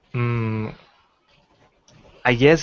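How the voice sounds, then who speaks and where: Here a man speaks in a medium pitch. His intonation stays fairly even. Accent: non-native. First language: not English. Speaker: call-in participant. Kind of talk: online debate. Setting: video call livestream. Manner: halting.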